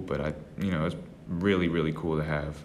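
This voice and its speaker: Audible room echo follows a speaker with an American accent who talks at a fairly quick pace with fairly even intonation. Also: man. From Texas, Austin. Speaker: traveling evangelist. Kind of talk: casual chat.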